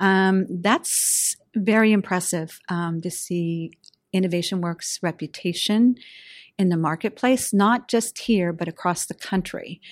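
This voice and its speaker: In an American accent, a woman with a plain, everyday voice speaks at a medium pitch and fairly slow pace with ordinary pitch variation. The recording is very clean with a silent background and a dry, close sound with no echo. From Western Pennsylvania. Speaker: venture capitalist. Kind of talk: interview.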